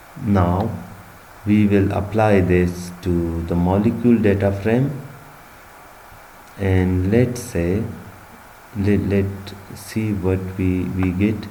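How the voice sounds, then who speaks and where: Amid noticeable background noise and audible room echo, a man talks at a very slow pace in fairly even intonation, with long, frequent pauses. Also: fairly low pitch for a man. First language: not English. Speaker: bioinformatics instructor. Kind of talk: tutorial. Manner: halting.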